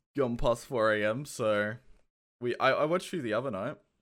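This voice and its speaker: Here a man speaks with an Australian accent. His pitch is medium and his pace moderate. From England (Kent). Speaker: podcast host running a community AMA. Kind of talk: casual live Q&A chat. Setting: Discord stage channel, live online. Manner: casual, chatty.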